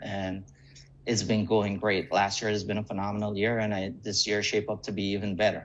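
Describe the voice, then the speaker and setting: Speaking fairly quickly, a man keeps his intonation monotone and flat. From Guyana. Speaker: real estate agent. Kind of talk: interview.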